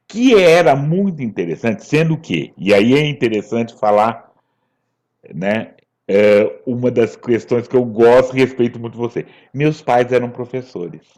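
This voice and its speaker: His intonation is lively, at a medium pitch. The man talks at a fairly slow pace. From São Paulo state, Brazil (Ribeirão Preto). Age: 60s. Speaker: writer and actor. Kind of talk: interview. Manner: halting.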